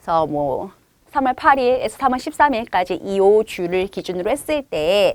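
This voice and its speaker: A woman's fairly high voice with very wide pitch swings, in a dry, close sound with no echo. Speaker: chemistry test-prep teacher. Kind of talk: online course info session. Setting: online video session with screen share. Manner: fast.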